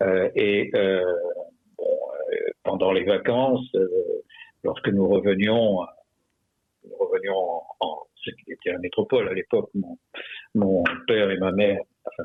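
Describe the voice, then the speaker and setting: Speaking at a fairly slow pace in a southern French accent, a man takes long, frequent pauses. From France, Perpignan area (Catalan roots), raised partly in Morocco/Algeria. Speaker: retired army general and author. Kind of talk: radio interview. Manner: halting, many hesitations.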